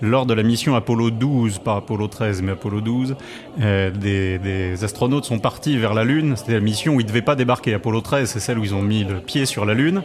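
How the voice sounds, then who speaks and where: A man talks fairly quickly with music in the background. His voice sits at a medium pitch and shifts in an ordinary way. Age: 40s. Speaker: music columnist and author. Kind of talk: radio interview. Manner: animated storytelling.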